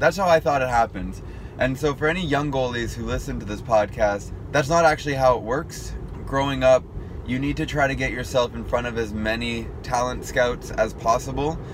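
Noticeable background noise sits behind a man talking at medium pitch and a fairly quick pace with ordinary pitch variation. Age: 20s. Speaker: podcast host and hockey goalie YouTuber. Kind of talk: casual solo monologue. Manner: conversational with filler words.

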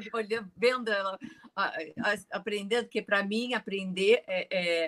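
In a plain, everyday voice, a woman speaks at a medium pitch with ordinary pitch variation, and the sound is dry and close with no echo. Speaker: Pilates teacher. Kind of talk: interview.

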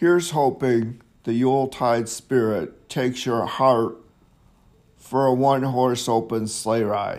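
At a very slow pace, a man speaks in a medium pitch. His intonation stays fairly even. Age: 50s. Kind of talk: rambling monologue. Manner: halting.

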